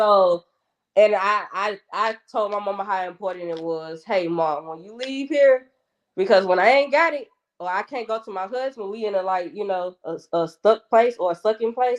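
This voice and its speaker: A woman with a strong Atlanta accent speaks at a moderate pace and medium pitch, with lively intonation and big swings in loudness. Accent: thick Atlanta Southern. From Atlanta, Georgia (West Side, Bankhead). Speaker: podcast guest. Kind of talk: casual chat.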